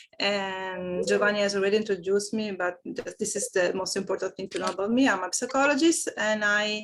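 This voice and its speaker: Speaking at a fairly quick pace with hardly any pauses, a woman with an Italian accent keeps a medium pitch and ordinary pitch variation. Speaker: HR manager and psychologist. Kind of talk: online meeting presentation. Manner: halting, many fillers.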